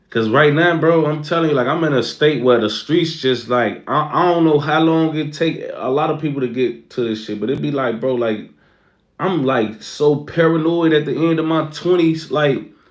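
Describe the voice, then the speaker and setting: Heard with audible room echo, a man in an American accent talks at a moderate pace with a fairly high pitch and ordinary pitch variation. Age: 20s. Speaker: streamer. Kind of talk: casual livestream chat.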